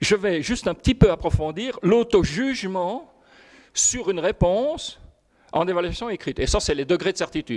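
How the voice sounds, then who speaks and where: No echo at all, just a dry, close sound carrying lively intonation. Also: man. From Belgium. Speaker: professor. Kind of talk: lecture. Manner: fast; halting.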